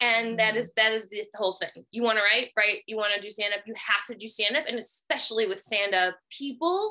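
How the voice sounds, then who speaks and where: A woman with an American accent has a bright, sharp tone and a fairly high pitch. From US Midwest, Chicago suburbs. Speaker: TV writer and stand-up comedian. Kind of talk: casual chat.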